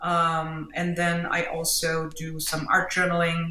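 A woman at a medium pitch, very slow, with a German accent over noticeable background noise. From Germany. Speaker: mixed media artist and teacher. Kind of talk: casual interview chat.

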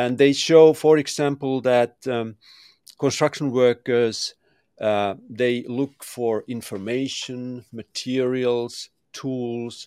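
A dark, mellow tone in a Finnish accent comes at a very slow pace with fairly even intonation, the sound dry and close with no echo on a very clean recording with a silent background. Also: man, medium pitch for a man. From Finland. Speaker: construction tech consultant and architect. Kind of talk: interview. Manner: halting.

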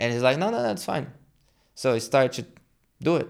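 The background is silent and the recording very clean. A man delivers his words at a fairly quick pace. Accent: Brazilian. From Brazil, São Paulo. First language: Portuguese. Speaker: jiu-jitsu gym owner and instructor. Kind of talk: casual interview.

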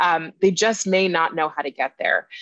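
This is a plain, everyday voice with an American accent, moving at a fairly quick pace with ordinary pitch variation in a dry, close sound with no echo. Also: woman. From California. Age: 30s. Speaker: author and podcast host. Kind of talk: interview conversation.

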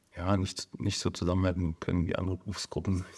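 A man's very deep, low pitch at a moderate pace in a very clean recording with a silent background. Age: 40s. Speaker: emergency physician and surgeon. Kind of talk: casual interview. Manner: hesitant, many fillers.

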